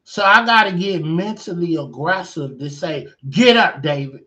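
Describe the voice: A man with a high pitch, fairly bright tone and lively intonation, at a fairly slow pace, with audible room echo.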